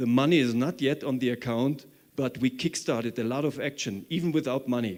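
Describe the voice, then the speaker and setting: This man has an ordinary speaking voice and a medium pitch. He talks at a moderate pace with ordinary pitch variation. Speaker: conference organizer. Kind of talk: conference talk.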